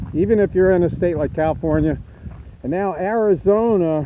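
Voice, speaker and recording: The speaker is a man with ordinary pitch variation. He goes at a moderate pace. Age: 60s. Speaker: RV camping vlogger. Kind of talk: casual vlog talk. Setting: outdoors, then inside trailer. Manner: halting, many fillers.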